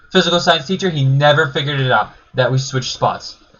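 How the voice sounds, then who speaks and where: The man's tone is animated, his pitch fairly high with ordinary variation. He speaks at a fairly quick pace. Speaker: YouTuber telling personal stories. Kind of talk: casual storytelling. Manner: loud.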